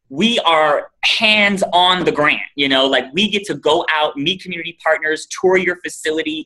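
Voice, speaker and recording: An animated man talks with a bright, sharp tone and a fairly high pitch. He has an American accent. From Los Angeles, Compton. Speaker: nonprofit executive director, guest speaker. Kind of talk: talk to students on a video call. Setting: video call. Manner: fast.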